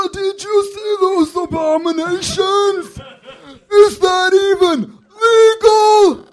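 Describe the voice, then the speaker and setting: A put-on character voice at an extremely high pitch, very slow pace, with long, frequent pauses. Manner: disgusted, bigoted.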